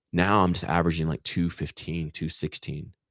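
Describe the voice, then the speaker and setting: A man talks in a relaxed tone at a moderate pace, his pitch very deep and low. The sound is dry and close with no echo, in a very clean recording with a silent background. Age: 30s. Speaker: wellness coach. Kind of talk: casual chat. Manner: relaxed, low-key.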